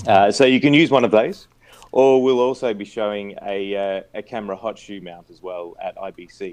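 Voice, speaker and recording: Ordinary pitch variation from a man with an Australian accent. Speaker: product company representative. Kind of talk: interview about video gear. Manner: hesitant, many fillers.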